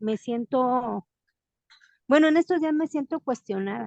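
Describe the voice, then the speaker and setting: A woman speaks with a high pitch, lively intonation and a dark, mellow tone. The sound is dry and close, with no echo. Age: 60s. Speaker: study group participant. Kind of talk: group discussion.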